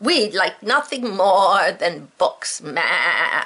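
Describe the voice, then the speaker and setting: Using a put-on character voice, a woman talks at a very slow pace. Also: fairly high pitch for a woman. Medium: read story. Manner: bleating "ma" tag on sentences.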